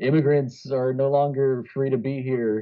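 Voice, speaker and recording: A man talks at a fairly slow pace in a medium pitch. It is a plain, everyday voice. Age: 30s. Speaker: podcast co-host. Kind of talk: casual chat.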